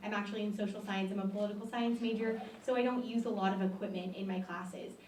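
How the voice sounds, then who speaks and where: Speaking at a very fast pace, a woman with an American accent keeps a medium pitch in monotone, flat intonation. The recording carries audible room echo and noticeable background noise. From Fresno, California. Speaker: student election candidate. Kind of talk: debate.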